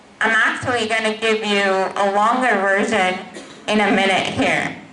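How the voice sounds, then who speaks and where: A woman's voice is heard with clear background noise and a noticeable echo from the room. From Pakistan. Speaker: cybersecurity manager, motivational speaker. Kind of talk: motivational talk to students.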